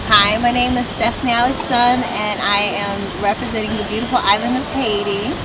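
A woman at a fairly quick pace amid loud background noise. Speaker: pageant winner and student. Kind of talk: casual interview. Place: garden. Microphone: camera far.

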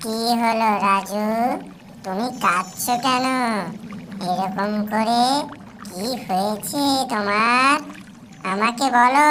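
A female-sounding, cartoonish character voice speaks at a very slow pace with a fairly high pitch. Clear background noise runs underneath. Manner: warm, motherly.

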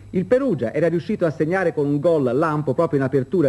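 Very fast and with lively intonation, a man speaks. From Italy. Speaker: studio sports presenter. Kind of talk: 1970s sports newsreel, studio results reading. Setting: TV studio. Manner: brisk, formal, measured. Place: studio.

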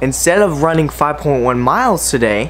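A man speaks with normal rises and falls in pitch at an even, middling speed while mild noise sits in the background. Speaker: fitness vlogger. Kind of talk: casual vlog chat.

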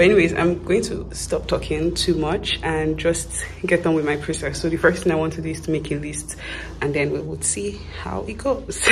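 A moderate pace against noticeable background noise. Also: woman. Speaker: student vlogger. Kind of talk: casual vlog chat. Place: home room. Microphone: phone near.

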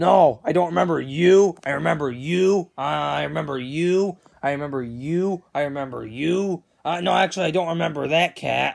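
A woman uses a put-on character voice with a low pitch, ordinary pitch variation and vocal fry. Her tone is slightly mellow and her pace moderate.

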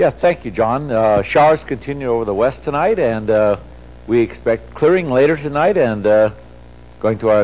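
A man at a moderate pace with ordinary pitch variation. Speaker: TV presenter. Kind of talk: broadcast weather forecast. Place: studio.

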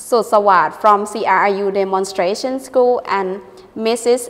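The speaker talks at a very slow pace in a Thai accent. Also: woman. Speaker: university lecturer co-hosting English radio show; news presenter. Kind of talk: news reading. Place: studio. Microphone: lapel.

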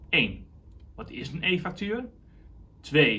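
A man with a bright, sharp tone. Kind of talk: explainer to camera. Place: office.

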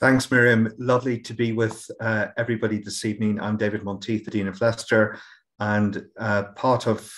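Over a quiet background, a man talks at a moderate pace in a fairly low pitch with monotone, flat intonation. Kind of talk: webinar introduction. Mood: warm, sombre in parts. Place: home room. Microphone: webcam.

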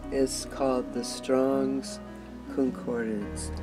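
Clear music plays behind a woman who speaks at a very slow pace. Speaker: Bible study host. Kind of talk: casual vlog chat. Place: home room. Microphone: webcam.

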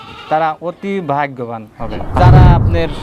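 Noticeable background noise fills the recording. Over it, a man's voice comes through. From Natore, Rajshahi, Bangladesh. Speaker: goat breeder and seller. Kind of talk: sales pitch.

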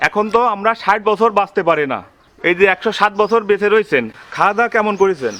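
The tone is bright and sharp. Pitch variation stays ordinary. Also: man, high pitch for a man. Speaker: video host, interviewer. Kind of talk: casual talk to camera.

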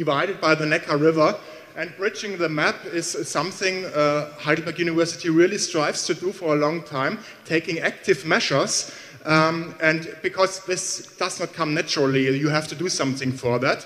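At a moderate pace, the man talks with fairly even intonation. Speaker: university professor giving welcome. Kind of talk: welcome speech. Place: hall. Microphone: handheld.

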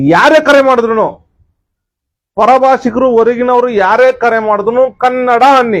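A man speaks with an extremely high pitch and fairly even intonation. His loudness stays very even. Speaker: political party activist. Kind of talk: political statement to camera. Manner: repetitive, emphatic.

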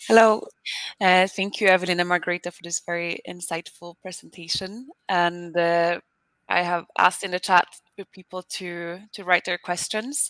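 Against a quiet background with a dry sound and no echo, a woman talks at a moderate pace in an unremarkable speaking voice, her pitch fairly low and her intonation fairly even. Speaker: communications officer, webinar moderator; webinar moderator. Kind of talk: webinar introduction and moderation. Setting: online webinar. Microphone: headset.

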